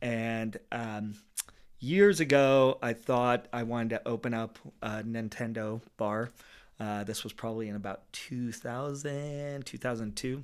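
In a plain, everyday voice, a man with an American accent and medium pitch speaks at a fairly slow pace with fairly even intonation, on a very clean recording with a silent background. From Los Angeles, San Fernando Valley. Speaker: bartender and DJ. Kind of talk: casual chat.

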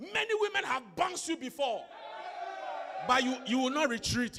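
A man uses a raised, projected voice with very wide pitch swings. His tone is animated over noticeable background noise. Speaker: preacher. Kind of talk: sermon with call-and-response prayer. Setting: church with congregation. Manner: loud, commanding, rhythmic, repeating phrases for the crowd to echo; animated, exhortative, urging the congregation to clap and shout.

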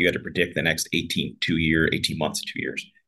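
Very fast and with vocal fry, a man speaks with an American accent. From US, Pittsburgh. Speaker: trial lawyer and company founder. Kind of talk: podcast interview. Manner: casual, conversational with fillers.

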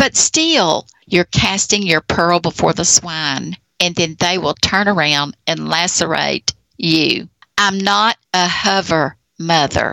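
A woman speaks at a very slow pace with a fairly low pitch, a bright, sharp tone, vocal fry and ordinary pitch variation. Her loudness is very even, and the sound is dry and close with no echo. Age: 60s. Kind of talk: testimony.

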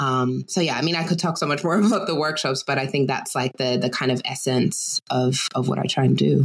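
This woman talks at a fairly quick pace with a very deep, low pitch and very even loudness. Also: ordinary pitch variation. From Germany (US military family). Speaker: anti-racism educator. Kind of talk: casual interview.

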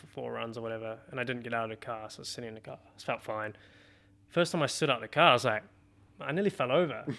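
Speaking at a very fast pace with a New Zealand accent, a man has a bright, sharp tone and big swings in loudness on a very clean recording with a silent background. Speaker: professional racing driver. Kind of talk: casual chat. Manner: animated.

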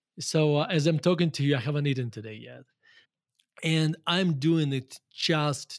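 A man with a Russian accent, fairly high pitch, and ordinary pitch variation, at a moderate pace with big swings in loudness, on a very clean recording with a silent background. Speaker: value investor. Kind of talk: interview conversation.

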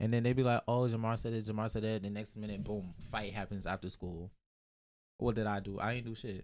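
A man talks at a fairly quick pace in a monotone, flat delivery. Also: fairly low pitch for a man. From Jamaica, raised in Brooklyn. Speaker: podcast guest. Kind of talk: casual chat. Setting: studio.

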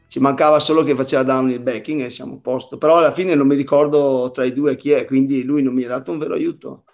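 Over music in the background, a man with a fairly high pitch speaks very fast in a monotone, flat intonation with hardly any pauses. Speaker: mountain bike racer. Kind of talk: casual interview on a live stream.

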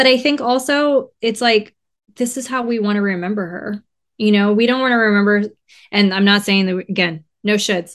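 A woman with an American accent speaks fairly quickly at a fairly high pitch with ordinary pitch variation over a quiet background. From Southern California, Riverside. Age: 30s. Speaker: funeral director. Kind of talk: casual interview.

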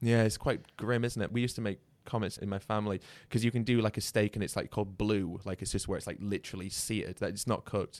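Speaking at a very fast pace with a British accent, a man has a fairly low pitch and fairly even intonation, captured in a very clean recording with a silent background. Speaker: podcast host. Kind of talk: casual interview chat.

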